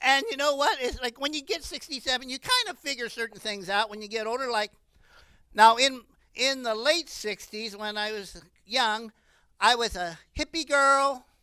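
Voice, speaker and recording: A woman with an American accent speaks at a moderate pace and a high pitch, her tone bright and sharp with ordinary pitch variation. Her loudness swings a lot, and the recording is very clean with a silent background. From US Midwest (Ohio). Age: 60s. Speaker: comedian. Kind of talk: stand-up.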